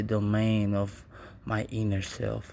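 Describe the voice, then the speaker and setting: Audible room echo surrounds a man with a non-native accent who speaks very slowly at a fairly low pitch. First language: Spanish. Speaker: poet. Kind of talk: casual monologue; spoken word poetry reading. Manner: halting.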